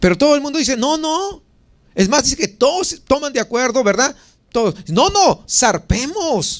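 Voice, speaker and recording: A man's extremely high-pitched voice, fairly slow in pace, with very wide pitch swings. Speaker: pastor. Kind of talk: sermon.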